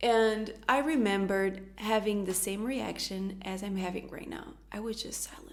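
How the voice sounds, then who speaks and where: Delivered at a moderate pace with a Portuguese accent, the speech has hardly any pauses, big swings in loudness, ordinary pitch variation and audible room echo. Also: woman, medium pitch for a woman. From Portugal. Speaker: youtuber, astrologer. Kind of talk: personal testimony.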